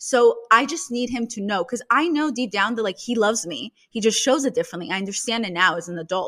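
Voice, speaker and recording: Bright and sharp in tone, a woman with a Russian accent speaks at a very fast pace with hardly any pauses, lively intonation and a fairly high pitch. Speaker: podcast host and meme creator. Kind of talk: casual interview conversation.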